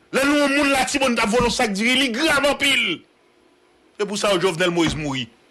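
A man with a Haitian accent speaks in a raised, projected voice. His pace is fairly slow. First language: Haitian Creole (speaking French). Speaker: news show host. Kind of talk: political rant. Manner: animated. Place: home room. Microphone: studio mic.

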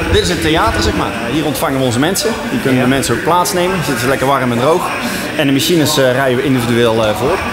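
With loud background noise behind him, a man speaks at a very fast pace. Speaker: auction house employee. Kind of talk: interview answer. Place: hall.

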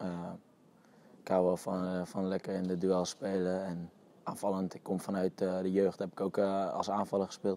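A man's very deep, low, dark and mellow voice, monotone and flat, at a moderate pace, dry with no echo. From Netherlands, Utrecht; Netherlands. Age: 20s. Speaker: professional footballer. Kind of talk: interview. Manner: halting, many fillers and repetitions. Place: open country. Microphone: lapel.

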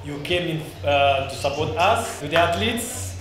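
At a fairly slow pace, the voice carries audible room echo with faint music in the background. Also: man. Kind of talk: speech. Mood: celebratory, grateful. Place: hall. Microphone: handheld.

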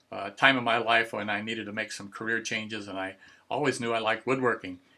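A man rattles along at a very fast pace, his bright, sharp tone held in a monotone, flat intonation. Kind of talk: interview answer. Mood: warm, nostalgic, chuckling. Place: workshop. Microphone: video call.

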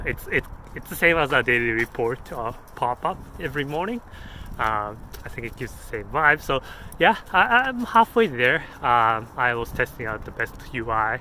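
A man at a fairly slow pace with ordinary pitch variation, dry sound with no echo, and light background noise. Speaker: app developer vlogger. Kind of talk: casual vlog chat. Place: street. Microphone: phone near.

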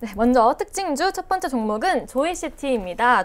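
A woman speaks at a high pitch and a moderate pace, her voice making very wide pitch swings. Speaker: stock market show host. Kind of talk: market news reading. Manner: scripted, formal. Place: studio. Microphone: lapel.

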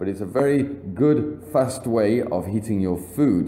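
A man's fairly slow, lively-toned delivery with an English accent. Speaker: English teacher. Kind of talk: vocabulary lesson narration. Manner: slow, clear.

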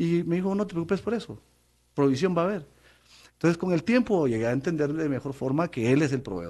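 Over a quiet background, a man with a high pitch speaks at a fairly quick pace with lively intonation. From Guatemala City. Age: 50s. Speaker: former public official; interview guest. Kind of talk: testimony. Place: studio. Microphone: studio mic.

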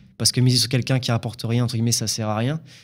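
A man's voice against a quiet background. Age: 20s. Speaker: drywall installer and painter. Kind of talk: interview. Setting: studio. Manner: hesitant, many fillers. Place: studio. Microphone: studio mic.

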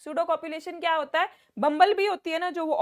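A loud woman's voice, extremely high in pitch, dry with no echo, over a quiet background. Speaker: online biology teacher. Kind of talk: online class lecture. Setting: live online class.

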